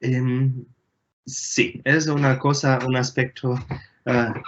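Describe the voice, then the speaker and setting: This is a man speaking with a German accent. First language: German (speaking Spanish). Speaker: astronomer, engineer. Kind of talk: Q&A interview. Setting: video call from home. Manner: halting, many fillers.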